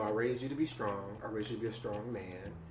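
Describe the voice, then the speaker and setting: Over noticeable background noise, a man speaks at medium pitch with ordinary pitch variation. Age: 30s. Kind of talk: oral history interview answer. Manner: casual, hesitant.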